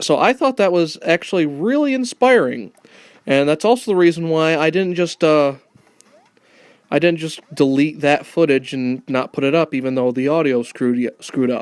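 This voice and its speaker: This man's pitch is fairly high, and his intonation is lively. He talks at a moderate pace. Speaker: gaming YouTuber. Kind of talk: let's play commentary. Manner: halting; trying to sound lighter and happier.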